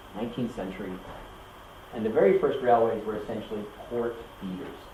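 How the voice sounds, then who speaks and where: Speaking at a very fast pace with fairly even intonation, a man with an American accent and a medium pitch shows big swings in loudness, with audible room echo and noticeable background noise. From US, Kentucky. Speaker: university lecturer. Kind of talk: lecture. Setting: classroom. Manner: halting, many fillers.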